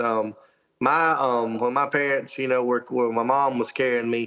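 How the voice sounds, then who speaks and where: A man with an Alabama accent, his tone bright and sharp, medium pitch, monotone, flat intonation, moderate pace, on a very clean recording with a silent background. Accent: Southern US (Alabama). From US South, northwest Alabama. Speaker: professional fisherman and motivational speaker. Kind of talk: interview, personal testimony. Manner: casual, with filler words.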